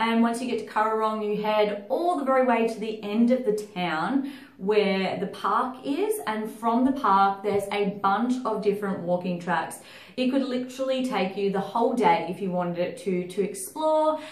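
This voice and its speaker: Pitch variation here is ordinary, at a moderate pace. Audible room echo surrounds the voice. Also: woman. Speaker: travel vlogger. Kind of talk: casual vlog chat. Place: home room.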